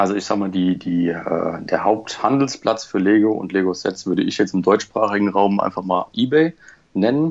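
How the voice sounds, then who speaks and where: A man with a normal speaking voice, pitched fairly low. He talks at a moderate pace with ordinary pitch variation. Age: 30s. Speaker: Lego collector and private investor. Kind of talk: casual interview.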